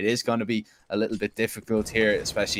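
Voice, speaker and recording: A man's fairly low voice with an Irish accent, in a dry, close sound with no echo. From Ireland. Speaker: esports commentator. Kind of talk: live commentary; casual chat.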